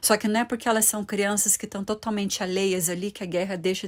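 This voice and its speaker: Talking at a fairly quick pace, a woman keeps to a monotone, flat intonation. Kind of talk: bible teaching video. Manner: ironic at times.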